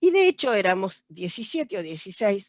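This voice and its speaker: A woman is speaking. Her pace is very slow. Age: 70s. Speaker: judge. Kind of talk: panel talk, personal testimony. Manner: halting, many fillers.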